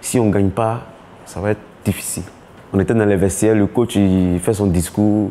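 At a moderate pace, a man with a fairly low voice talks in a flat monotone. He leaves long, frequent pauses over light background noise. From Côte d'Ivoire, Abidjan (Abobo); Côte d'Ivoire. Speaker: former footballer. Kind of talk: documentary interview. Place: home room. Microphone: lapel.

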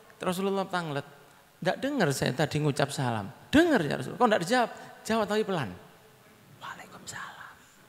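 A man talks at a very fast pace in a high pitch with very wide pitch swings. Long pauses come often. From Indonesia. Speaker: Islamic preacher. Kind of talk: sermon. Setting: religious assembly with audience. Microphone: handheld.

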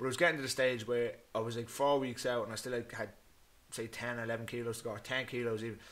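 A man talks at a very fast pace in an Irish accent. His intonation is monotone and flat. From Ireland. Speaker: MMA fighter. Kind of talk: casual chat. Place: home room. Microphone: studio mic.

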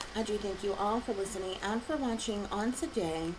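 Loud background noise fills the clip. Over it, a woman speaks with ordinary pitch variation. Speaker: tarot reader. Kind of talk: tarot reading monologue. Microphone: phone near.

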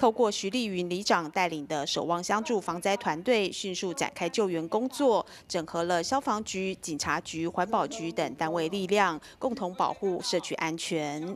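A woman speaks at a moderate pace in a medium pitch, with lively intonation and hardly any pauses. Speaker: news reporter. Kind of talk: news reading.

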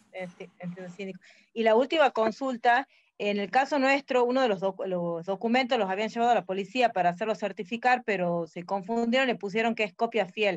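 Her voice is a plain, everyday voice, fairly high in pitch with ordinary pitch variation. The woman talks at a moderate pace over a quiet background. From Argentina, Tucumán; Argentina. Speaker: member of a new cooperative. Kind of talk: question in online webinar. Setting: video call. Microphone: video call.

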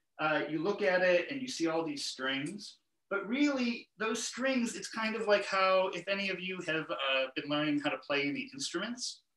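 Hardly any pauses break this moderate-paced speech, which has audible room echo against a quiet background. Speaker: guest. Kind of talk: interview answer. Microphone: video call.

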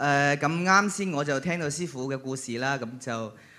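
His tone is bright and sharp, and the pitch varies in an ordinary way. The man keeps a moderate pace. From Leizhou, western Guangdong; Guangdong. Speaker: Cantonese opera performer. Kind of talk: short tribute speech. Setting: stage with audience. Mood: warm, grateful. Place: stage. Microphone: handheld.

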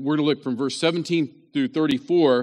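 With an American accent, a man speaks at a moderate pace in a fairly high pitch with ordinary pitch variation against a quiet background. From West Virginia. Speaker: pastor. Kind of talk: sermon.

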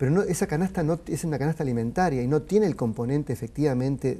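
Using lively intonation, a man with a dark, mellow tone speaks at a very fast pace. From Argentina. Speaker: sociologist; guest. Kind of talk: interview. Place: studio. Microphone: lapel.

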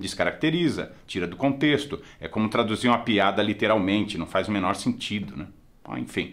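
Lively in intonation, a man speaks at a fairly low pitch and a moderate pace with vocal fry. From Brazil. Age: 50s. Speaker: film critic; film reviewer. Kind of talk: casual film review monologue. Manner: conversational, informal.

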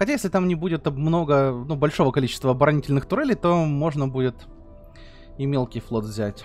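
A fast-talking man with a fairly high pitch and ordinary pitch variation, faint music in the background. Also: slightly mellow tone.

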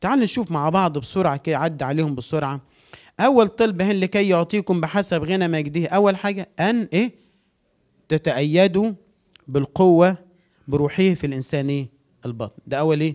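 A high-pitched man at a moderate pace against a quiet background. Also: lively intonation. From Egypt. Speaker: pastor. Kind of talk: sermon. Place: church.

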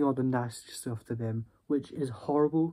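A man talks in a dark, mellow tone with fairly even intonation. His pace is moderate and the background is quiet. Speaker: vlogger. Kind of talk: casual vlog storytelling. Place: home room. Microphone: phone near.

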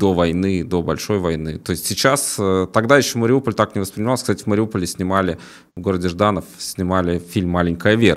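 At a fairly quick pace, a man talks in a fairly low voice. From Latvia, Riga; Latvia. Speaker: YouTube news host. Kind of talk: casual interview. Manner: halting, many fillers. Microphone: studio mic.

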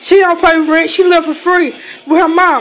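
Faint music plays in the background as a woman talks. Her pitch is extremely high and her pace moderate. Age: 30s. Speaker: home cook vlogger. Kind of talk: casual talk to camera. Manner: defiant, brash. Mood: defensive, ranting at critics. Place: kitchen. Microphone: phone near.

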